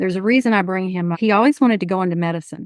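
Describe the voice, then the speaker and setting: A woman with a Houston accent speaks at a medium pitch. The sound is dry and close with no echo, over a quiet background. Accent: Southeast Houston Texan. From Texas, southeast Houston. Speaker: nonprofit board chair. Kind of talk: interview.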